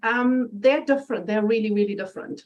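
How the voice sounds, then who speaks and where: A woman's dark, mellow voice with a German accent and ordinary pitch variation. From Germany. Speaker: interview guest, personal development presenter. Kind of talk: interview. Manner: animated.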